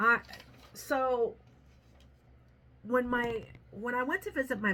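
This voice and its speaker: A woman's voice carries vocal fry and a bright, sharp tone. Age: 60s. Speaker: vlogger and dog groomer. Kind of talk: casual vlog talk to camera.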